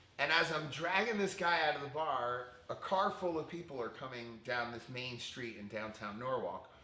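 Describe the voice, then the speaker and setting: A man with an American accent speaks in an animated tone with lively intonation at a moderate pace. Audible room echo and noticeable background noise fill the recording. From Connecticut, US. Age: 40s. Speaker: fitness instructor and former preschool teacher. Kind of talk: interview testimony. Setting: podcast.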